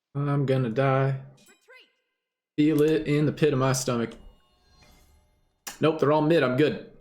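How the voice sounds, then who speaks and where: Music plays in the background as a man with a fairly high pitch speaks at a fairly slow pace, his intonation fairly even, with long, frequent pauses and audible room echo. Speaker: gaming streamer. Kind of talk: live gameplay commentary.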